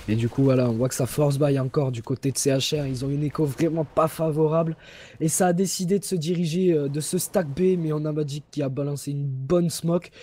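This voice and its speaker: A man talks at a fairly quick pace in a fairly high, somewhat breathy voice. His tone is dark and mellow, with ordinary pitch variation. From Toulouse, southern France. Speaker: esports caster. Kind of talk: live commentary. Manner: animated.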